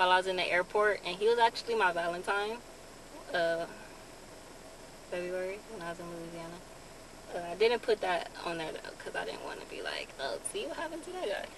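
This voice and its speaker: Over noticeable background noise, a woman talks at a fairly quick pace with ordinary pitch variation and big swings in loudness, the sound dry with no echo. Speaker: vlogger. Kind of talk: casual vlog chat. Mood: happy, a bit shy. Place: car. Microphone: phone near.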